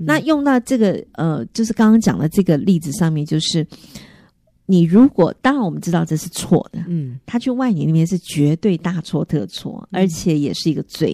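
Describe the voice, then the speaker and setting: Recorded dry and close with no echo, a woman with a fairly low pitch and a dark, mellow tone speaks at a moderate pace, her pitch swinging very widely. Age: 50s. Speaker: radio host. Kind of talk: interview.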